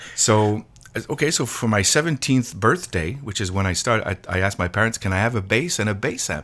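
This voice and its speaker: With lively intonation, a man speaks fairly quickly in a fairly low voice. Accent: Quebec. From Quebec (Montreal). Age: 60s. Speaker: drummer and drum teacher. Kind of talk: interview. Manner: halting, many repetitions.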